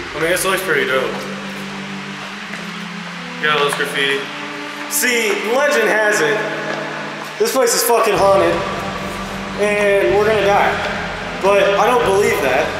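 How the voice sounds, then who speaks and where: A man at a moderate pace, with long, frequent pauses, music in the background and audible room echo. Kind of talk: casual vlog chat. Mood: joking, slightly nervous. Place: tunnel cave. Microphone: phone near.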